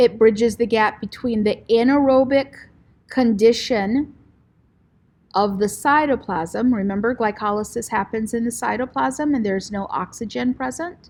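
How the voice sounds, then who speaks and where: On a very clean recording with a silent background, a woman speaks at a moderate pace with a fairly high pitch and ordinary pitch variation. It is an ordinary speaking voice. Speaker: teacher. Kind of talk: lecture. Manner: casual.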